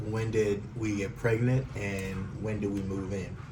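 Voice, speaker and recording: Amid noticeable background noise and audible room echo, a man talks at a fairly slow pace with a fairly low pitch and fairly even intonation. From California, San Jose area. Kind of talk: casual chat.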